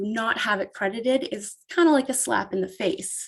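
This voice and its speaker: At a fairly slow pace, a woman talks in an unremarkable speaking voice with a fairly high pitch. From Canada, Ontario. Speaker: photographer. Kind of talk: casual interview. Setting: podcast interview.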